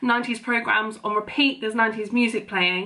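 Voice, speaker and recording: A woman's raised, projected voice against a quiet background. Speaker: vlogger. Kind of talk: casual vlog chat. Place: kitchen. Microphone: phone near.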